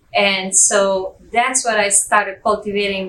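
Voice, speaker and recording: A woman speaks with a slight Italian accent at a medium pitch. Her pace is moderate. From Italy (Liguria/Tuscany coast). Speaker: real estate agent. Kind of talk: interview.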